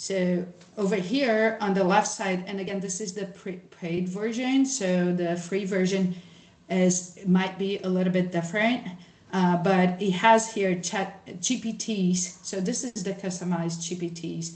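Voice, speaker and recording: Speaking fairly slowly with fairly even intonation, the voice carries a Brazilian accent and audible room echo. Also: woman, medium pitch for a woman. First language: Portuguese. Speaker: social scientist, workshop presenter. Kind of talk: workshop presentation with screen share. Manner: casual, many fillers and false starts.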